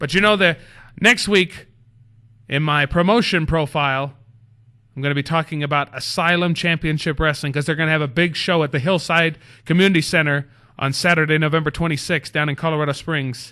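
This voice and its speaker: The delivery is animated and fairly quick, with a bright, sharp tone. The background stays quiet. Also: man, fairly high pitch for a man. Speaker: wrestling manager and show host. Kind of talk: solo show monologue. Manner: fast.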